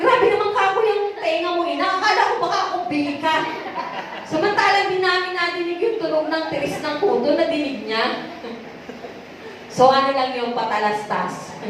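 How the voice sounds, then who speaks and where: Loud and extremely high-pitched, a woman swings her pitch very widely at a moderate pace, with audible room echo and noticeable background noise. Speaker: preacher. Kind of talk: sermon.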